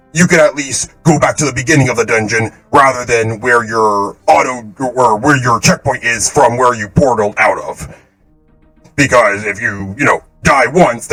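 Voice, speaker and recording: A man puts on a character voice at a medium pitch and a moderate pace. Faint music plays in the background. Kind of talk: casual game feedback. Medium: game stream. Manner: casual, rambling, self-correcting.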